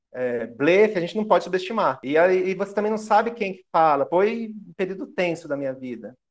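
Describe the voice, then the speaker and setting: The man's voice is high in pitch, and he speaks at a fairly quick clip. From Brazil, Guarulhos, São Paulo. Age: 30s. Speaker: historian. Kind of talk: interview.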